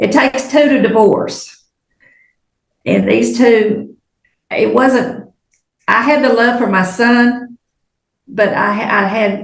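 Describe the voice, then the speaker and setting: A woman's very slow, fairly high voice in an American accent, with vocal fry, long and frequent pauses, very even loudness and fairly even intonation. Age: 70s. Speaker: witness. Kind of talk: testimony. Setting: courtroom.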